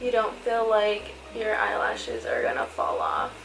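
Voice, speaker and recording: Woman at a fairly slow pace, audible room echo and noticeable background noise. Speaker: beauty vlogger. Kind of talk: makeup tutorial.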